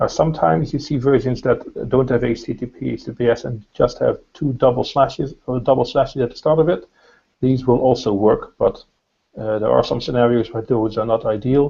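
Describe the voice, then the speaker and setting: A man's medium-pitched voice with a dark, mellow tone, ordinary pitch variation and a fairly quick pace. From Northern Ireland. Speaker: SEO consultant. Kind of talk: webinar presentation.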